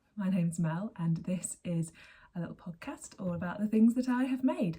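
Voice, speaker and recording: Her breath is somewhat audible in her voice. The woman keeps a moderate pace. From England. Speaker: knitting podcaster. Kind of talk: casual chat. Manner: chatty, with hesitations.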